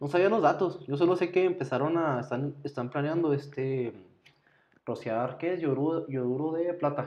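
Talking at a moderate pace in an ordinary speaking voice, a man keeps a fairly high pitch that varies normally. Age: 30s. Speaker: podcast co-host, nurse or doctor. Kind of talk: casual chat.

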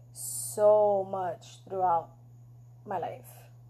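A woman speaks with a slight New York accent. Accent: New York (Bronx) accent, slight. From the Bronx, New York. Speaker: podcast host. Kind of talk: casual conversation.

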